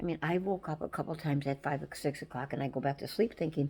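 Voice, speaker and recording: A somewhat breathy woman's voice, very deep and low in pitch, at a fairly quick pace with ordinary pitch variation. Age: 70s. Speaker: vlogger. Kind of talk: personal farewell message. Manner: halting.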